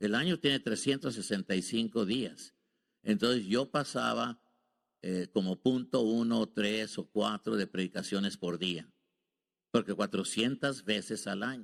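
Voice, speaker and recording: Fairly low male voice with vocal fry, a fairly slow pace and ordinary pitch variation, on a very clean recording with a silent background. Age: 70s. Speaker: visiting preacher. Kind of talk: sermon. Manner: halting.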